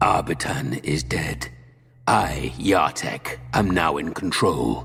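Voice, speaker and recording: A man in a put-on character voice, growling at a very deep, low pitch and a very slow pace. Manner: menacing, brutal.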